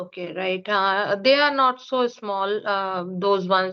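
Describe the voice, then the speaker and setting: Speaking with an Indian accent, a woman keeps a medium pitch with ordinary variation. Her pace is fairly slow. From India, Uttar Pradesh. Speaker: English teacher. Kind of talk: casual conversation practice. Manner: halting, many fillers.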